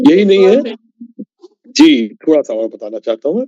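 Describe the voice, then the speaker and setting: A man speaks with a dark, mellow tone and lively intonation. The sound is dry and close, with no echo. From Kanpur, India. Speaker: author and retired engineer. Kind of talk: podcast interview answer.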